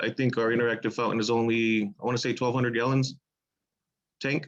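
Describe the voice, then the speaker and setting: A man speaks at medium pitch and a fairly quick pace over a quiet background. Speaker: pool maintenance worker. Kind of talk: public meeting presentation. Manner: halting.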